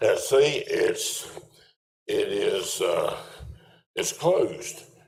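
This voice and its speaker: A man speaks very slowly at an extremely high pitch, his intonation fairly even. Room echo is audible. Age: 80s+. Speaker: resident speaking at public comment. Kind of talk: public comment at town meeting. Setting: town council meeting. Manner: rambling, folksy.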